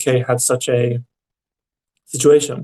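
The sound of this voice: A man with a dark, mellow tone speaks with little pitch movement.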